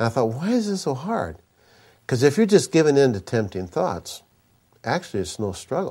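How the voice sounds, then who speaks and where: In an American accent, a man with a fairly high pitch and a dark, mellow, somewhat breathy tone speaks at a moderate pace with very wide pitch swings, in a very clean recording with a silent background. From US Midwest, Minnesota. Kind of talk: sermon. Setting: conference stage with audience.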